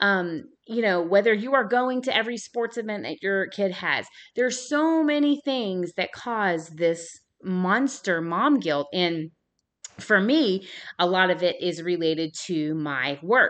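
Her warm, energetic tone sits at a medium pitch for a woman and swings very widely. She speaks at a fairly slow pace over a quiet background. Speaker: podcast host. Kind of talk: solo podcast talk, motivational and faith-based. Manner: passionate, animated, loud at times; warm, energetic, conversational.

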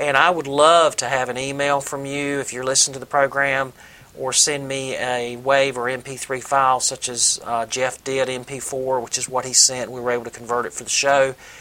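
Speaking with a Southern US accent at a moderate pace, a man keeps a medium pitch and a monotone, flat intonation, with hardly any pauses. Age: 50s. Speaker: podcast host, recreational runner. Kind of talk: solo podcast monologue. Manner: halting, many fillers.

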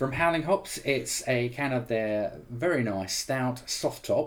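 Pitched at a medium level with ordinary pitch variation, a man talks in a normal speaking voice. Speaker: podcast host, film website founder. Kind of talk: casual chat.

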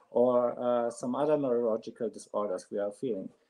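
A man talks at a moderate pace. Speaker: clinical psychologist caller. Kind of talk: polite debate call-in. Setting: video call with tech glitches. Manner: halting, hesitant.

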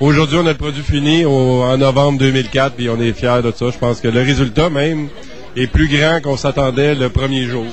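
A man's plain, everyday voice at a moderate pace, with fairly even intonation. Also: medium pitch for a man. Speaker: independent film producer. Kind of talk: interview.

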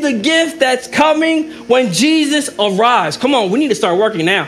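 A man speaks in an animated tone at an extremely high pitch with very wide pitch swings, amid audible room echo and noticeable background noise. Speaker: pastor. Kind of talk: sermon.

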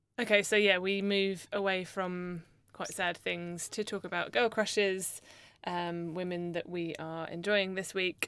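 A woman with a British accent at a fairly slow pace, medium in pitch, monotone and flat in intonation, on a very clean recording with a silent background. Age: 30s. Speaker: podcast co-host. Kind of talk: storytelling. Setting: studio. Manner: swears a lot.

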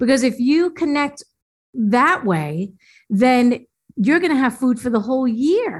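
Very even loudness, a fairly slow pace and very wide pitch swings. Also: woman, high pitch for a woman. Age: 50s. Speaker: natural foods chef and health coach. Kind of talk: interview.

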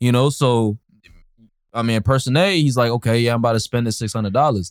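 On a very clean recording with a silent background, a man talks at a fairly quick pace in a plain, everyday voice, medium in pitch with ordinary pitch variation. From Berkeley, California. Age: 20s. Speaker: young entrepreneur and student. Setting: outdoors.

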